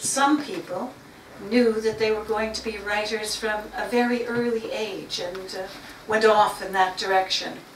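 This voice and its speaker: A woman with a fairly high pitch and fairly even intonation speaks at a fairly slow pace, with audible room echo and noticeable background noise. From Canada. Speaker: writer. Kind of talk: talk to a writing group. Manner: some hesitations and repeated words.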